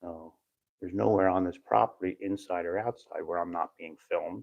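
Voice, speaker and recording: Whispering, a man speaks at a fairly quick pace. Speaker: first amendment auditor livestreamer. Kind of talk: live stream commentary. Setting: indoors in city hall hallway.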